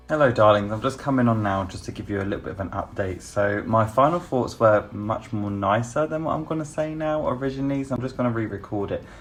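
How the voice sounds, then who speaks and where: Over noticeable background noise, a man with a British accent talks very fast with hardly any pauses, at a medium pitch with ordinary pitch variation. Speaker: beauty YouTuber. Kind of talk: makeup review vlog. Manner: talking quietly; chatty, animated.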